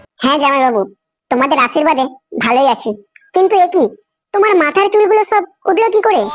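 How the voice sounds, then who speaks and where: Using a cartoonish character voice, a woman speaks fairly quickly at an extremely high pitch, her pitch swinging very widely while her loudness stays very even. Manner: friendly, polite.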